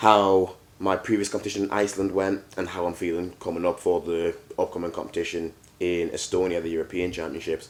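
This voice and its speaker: Speaking with an English accent, a man keeps to a moderate pace. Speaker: powerlifter. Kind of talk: casual vlog.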